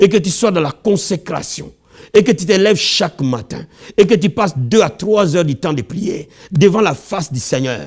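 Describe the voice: A man's high voice with a slightly husky edge and slightly mellow tone, lively intonation, moderate pace and few pauses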